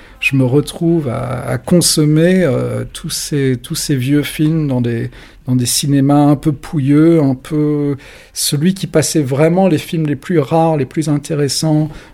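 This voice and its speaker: A man's fairly high, dark and mellow voice at a very slow pace with fairly even intonation. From France, adolescence in London. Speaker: magazine journalist and editor. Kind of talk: casual interview. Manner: hesitant, many fillers.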